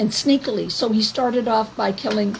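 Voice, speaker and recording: A woman with a Canadian accent at a moderate pace, over noticeable background noise. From Canada. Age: 70s. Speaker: activist vlogger. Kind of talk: monologue to camera. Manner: halting.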